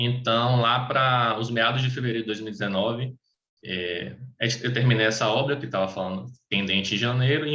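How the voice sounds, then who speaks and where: The tone is bright and sharp, the pace fairly quick, and the pitch variation ordinary. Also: man. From Bahia, Brazil (Salvador). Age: 20s. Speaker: tax auditor. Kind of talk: personal testimony in an online meeting. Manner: halting, many fillers and restarts.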